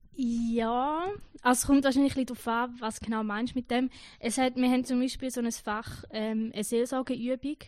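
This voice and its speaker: A woman's fairly high, monotone, flat voice with a Schaffhausen accent, dry and close with no echo. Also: quiet background. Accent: Schaffhausen Swiss German. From eastern Switzerland, canton Schaffhausen. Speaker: trainee pastor. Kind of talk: interview.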